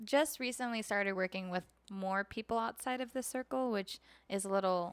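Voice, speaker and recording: A woman with an American accent and medium pitch has an unremarkable speaking voice with ordinary pitch variation, captured on a very clean recording with a silent background. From Southern California. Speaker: singer-songwriter. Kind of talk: casual interview. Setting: studio.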